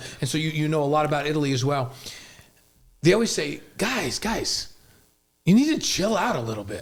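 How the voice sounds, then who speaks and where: Speaking at a fairly quick pace with long, frequent pauses, a man uses lively intonation in a somewhat breathy, fairly high voice. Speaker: broadcaster. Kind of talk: casual interview question.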